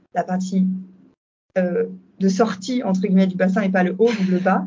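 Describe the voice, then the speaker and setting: Her somewhat breathy voice sits at a medium pitch as the woman speaks in a monotone, flat intonation. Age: 30s. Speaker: doula. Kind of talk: testimony. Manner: halting.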